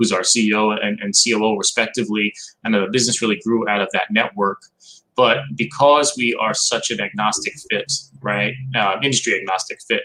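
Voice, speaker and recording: In a New York accent, a man talks at a fairly quick pace with a bright, sharp tone, medium pitch and ordinary pitch variation. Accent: Staten Island. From New York, Staten Island. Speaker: marketing company executive. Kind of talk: casual interview chat. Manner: calm, soothing; direct, assured.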